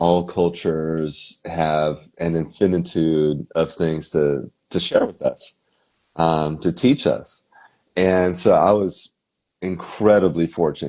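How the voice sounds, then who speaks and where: The pace is very slow. The speaker has an American accent. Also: man, very deep, low pitch for a man. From US West Coast, Topanga Canyon, California. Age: 40s. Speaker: musician. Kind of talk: interview. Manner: halting, many fillers.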